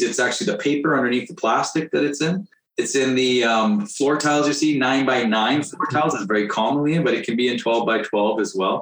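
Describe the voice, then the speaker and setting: Lively intonation marks a man's plain, everyday voice, spoken at a medium pitch and fairly quick pace in a Canadian accent. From northern British Columbia, Canada. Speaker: renovation contractor and house flipper. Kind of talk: casual interview.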